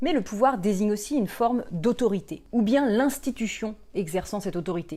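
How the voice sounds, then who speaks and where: Lively intonation and a dark, mellow tone come through at a fairly quick pace on a very clean recording with a silent background. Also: woman. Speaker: philosophy educator, YouTuber. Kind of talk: educational video lesson. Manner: casual, conversational with fillers.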